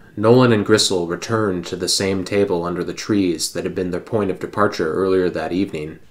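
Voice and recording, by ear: Someone is reading aloud. The delivery is a natural voice.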